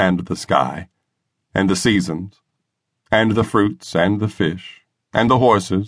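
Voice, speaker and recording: Over a quiet background, a man talks at a moderate pace in a normal speaking voice. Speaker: audiobook narrator. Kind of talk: first-person memoir reading, an old bluesman recalling a sharecropping childhood. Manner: folksy Southern vernacular phrasing, plainspoken and warm.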